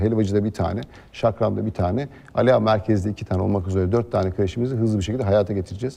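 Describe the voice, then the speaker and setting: Against a quiet background, a man with a dark, mellow tone and fairly low pitch speaks very fast with fairly even intonation. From Aliağa, İzmir, Turkey. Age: 30s. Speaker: mayoral candidate. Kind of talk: TV interview. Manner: frequent filler hesitations.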